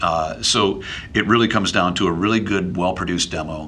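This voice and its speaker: The speaker has a Midwestern accent. Intonation stays fairly even. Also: man. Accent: general American (Midwest). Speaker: voiceover artist, former radio DJ. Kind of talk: casual interview. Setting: studio office. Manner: witty, conversational.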